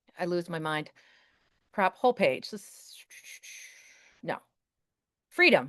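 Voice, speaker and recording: A woman with a medium pitch is recorded with a dry, close sound and no echo. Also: quiet background. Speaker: teacher and Canva presenter. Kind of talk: webinar tutorial with live demo. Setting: video call webinar. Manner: fast; casual, chatty.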